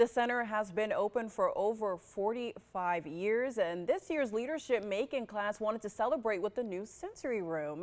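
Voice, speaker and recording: A woman has a plain, everyday voice at a medium pitch. Her intonation is lively, and her pace is moderate. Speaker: news anchor. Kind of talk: TV news read.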